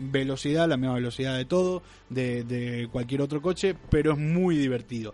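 Over music in the background, a man with a Rioplatense accent talks at a moderate pace, his pitch medium and its variation ordinary. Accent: Argentine Spanish (rioplatense). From Argentina, Rosario. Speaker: podcast co-host. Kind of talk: casual chat. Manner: animated.

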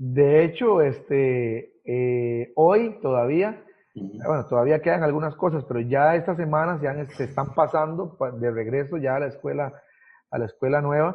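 A fairly high-pitched man at a fairly slow pace, with ordinary pitch variation. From southern Costa Rica, Ciudad Neily near Panama border. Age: 30s. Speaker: pastor. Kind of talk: casual interview. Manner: halting, many repetitions.

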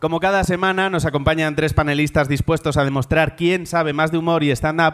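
At a fairly quick pace, a man talks in an ordinary speaking voice, fairly high in pitch with ordinary pitch variation. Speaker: comedy quiz show host. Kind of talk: comedic quiz hosting before live audience. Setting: university venue with live audience.

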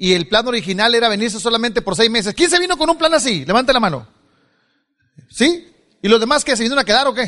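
A man in an animated, raised and projected voice talks very fast at an extremely high pitch, his tone bright and sharp, with lively intonation and long, frequent pauses. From Mexico, Culiacán, Sinaloa. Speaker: motivational speaker. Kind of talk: motivational speech. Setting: stage with audience.

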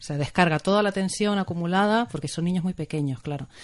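A woman talks at a very fast pace with a Canarian accent. Her voice is fairly low, with ordinary pitch variation. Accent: warm Canarian. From Canary Islands (Tenerife). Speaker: family therapist and maternity coach. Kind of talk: radio interview.

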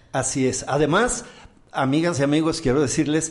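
Speaking at a fairly high pitch, a man's voice carries audible room echo. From Mexico. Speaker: podcast host and comedian-entertainer. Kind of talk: casual talk show chat. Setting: studio.

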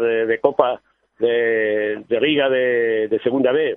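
A man talks with fairly even intonation. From Barcelona, Catalonia. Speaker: football club official. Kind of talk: casual interview. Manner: halting.

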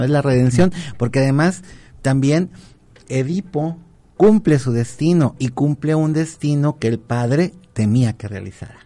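A man's somewhat breathy voice, dark and mellow in tone, fairly high in pitch with ordinary pitch variation, at a fairly slow pace. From Colima, Mexico. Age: 50s. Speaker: university professor. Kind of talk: radio talk show interview. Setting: radio studio.

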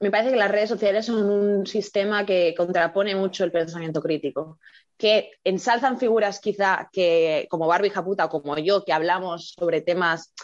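A woman talks in an ordinary speaking voice at medium pitch, with ordinary pitch variation and very even loudness. She keeps a moderate pace with hardly any pauses over a quiet background. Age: 20s. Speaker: educator and online video creator. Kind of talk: casual interview.

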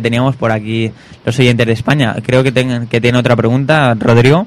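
Monotone, flat intonation at a fairly quick pace, in a Spanish accent. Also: man. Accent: Peninsular Spanish. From Spain. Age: young. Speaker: radio host. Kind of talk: casual chat. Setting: studio.

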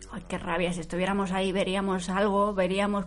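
Vocal fry marks this woman's fairly low-pitched voice, heard with audible room echo. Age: 40s. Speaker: TV series commentator. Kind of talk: live commentary. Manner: animated.

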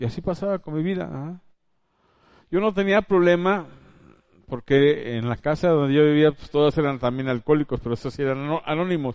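A man talks with an ordinary speaking voice at a fairly high pitch. His pace is moderate, with ordinary pitch variation. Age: 50s. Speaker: preacher. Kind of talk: sermon.

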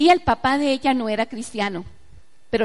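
A woman talks at a fairly quick pace with ordinary pitch variation. She has a normal speaking voice. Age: 40s. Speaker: pastor. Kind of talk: sermon.

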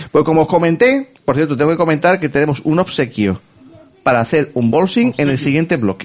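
Over noticeable background noise, a man with a fairly high pitch talks fairly quickly, using lively intonation and very even loudness. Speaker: podcast host. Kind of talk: casual chat.

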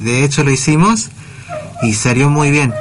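A man talks at a moderate pace with fairly high pitch. Noticeable background noise sits behind him. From Argentina, Córdoba city. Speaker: blind musician. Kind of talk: radio interview. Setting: radio studio.

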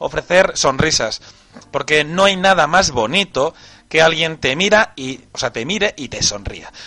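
A man speaks at a moderate pace in a bright, sharp tone with lively intonation. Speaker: online radio host. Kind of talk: casual live stream chat.

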